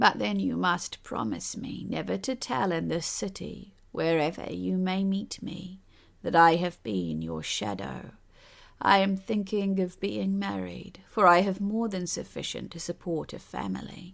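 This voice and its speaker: A woman with a fairly low pitch speaks at a moderate pace in a raspy, put-on character voice. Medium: read story. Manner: haughty, condescending.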